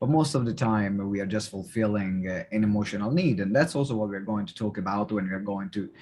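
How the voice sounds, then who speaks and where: With a non-native accent, a man of fairly low pitch talks at a fairly quick pace with hardly any pauses and ordinary pitch variation, the background quiet. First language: not English. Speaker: podcast host. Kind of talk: podcast interview.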